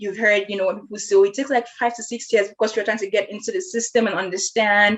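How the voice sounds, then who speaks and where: With a Nigerian accent, the speaker rushes at a very fast pace in a monotone, flat delivery with hardly any pauses, over noticeable background noise. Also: woman, fairly high pitch for a woman. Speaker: podcast host. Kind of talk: casual conversation.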